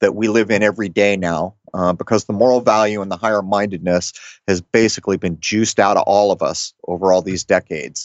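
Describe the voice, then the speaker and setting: A man with an American accent speaks at a fairly quick pace in a fairly low pitch, with ordinary pitch variation and a plain, everyday voice. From Rhode Island, US. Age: 50s. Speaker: podcast host. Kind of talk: casual chat.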